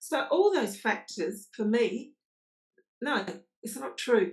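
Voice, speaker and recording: A woman speaks in a fairly high pitch. Her voice is somewhat breathy. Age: 60s. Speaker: podcast guest. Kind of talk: interview answer.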